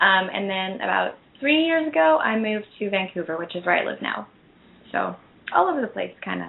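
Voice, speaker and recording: Speaking at a fairly quick pace, a woman talks with a Canadian accent. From Calgary, western Canada. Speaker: actress. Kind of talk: interview.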